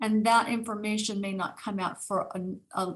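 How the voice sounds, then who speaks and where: Her pitch is fairly high for a woman. She sounds somewhat breathy. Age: 60s. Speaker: neuropsychiatrist and author. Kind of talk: interview. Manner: animated; halting.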